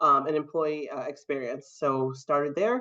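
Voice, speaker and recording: Speaking with an American accent, a woman uses a very deep, low voice at a moderate pace. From Massachusetts, Brockton (south of Boston). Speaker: diversity executive. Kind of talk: interview. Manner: frequent fillers (um).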